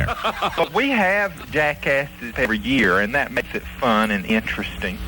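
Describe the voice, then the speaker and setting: Amid noticeable background noise, a man at a medium pitch speaks at a moderate pace with very wide pitch swings. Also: very even loudness. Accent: American. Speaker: hollering champion. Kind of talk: radio interview answer.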